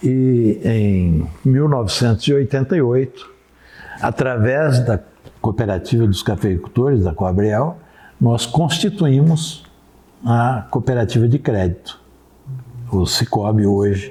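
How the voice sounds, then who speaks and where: Delivered at a very slow pace with long, frequent pauses, the speech has lively intonation and very even loudness. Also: man, medium pitch for a man. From Espírito Santo, Brazil. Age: 70s. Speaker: cooperative president. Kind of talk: interview answer.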